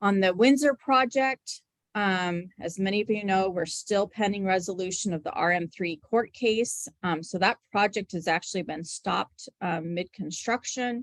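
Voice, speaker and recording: A woman with a plain, everyday voice talks at a moderate pace with hardly any pauses. The sound is dry and close, with no echo. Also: medium pitch for a woman, ordinary pitch variation. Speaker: transit agency staff presenter. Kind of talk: public meeting presentation. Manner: many filler ums.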